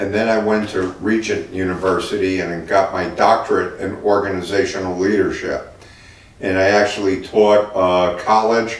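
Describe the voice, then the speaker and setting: A man with a New Jersey accent speaks at a fairly low pitch and moderate pace in a monotone, flat intonation, with audible room echo and noticeable background noise. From New Jersey (Newark). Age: 60s. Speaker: city mayor, former Marine and physical therapist. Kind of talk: interview. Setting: in-person interview at a car dealership. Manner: conversational with frequent fillers.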